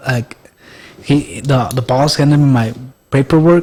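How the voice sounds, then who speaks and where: In a Spanish accent, a man talks at a medium pitch with ordinary pitch variation. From Mexico. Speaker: podcast guest. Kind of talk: casual chat. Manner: halting.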